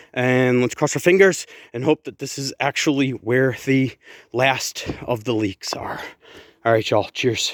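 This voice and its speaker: An ordinary speaking voice with ordinary pitch variation moves at a fairly slow pace in a dry, close sound with no echo. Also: man, medium pitch for a man. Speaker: home renovation vlogger. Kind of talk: casual vlog update.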